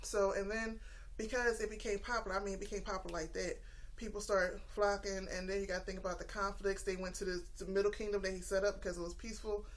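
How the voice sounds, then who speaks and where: In a room with audible echo, a woman speaks very fast in a monotone, flat intonation. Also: medium pitch for a woman. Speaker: YouTuber sharing religious study. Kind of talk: casual monologue vlog. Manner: hesitant, many fillers.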